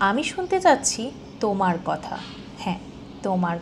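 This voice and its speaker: Noticeable background noise sits behind a woman speaking in a calm tone at a medium pitch. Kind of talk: emotional spoken-word voiceover. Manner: soft, calm, heartfelt.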